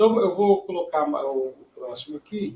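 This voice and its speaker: A man speaks at a fairly slow pace. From Goiás, Brazil. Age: 60s. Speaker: debate show host. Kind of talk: discussion presenting charts. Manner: halting, many fillers and repetitions.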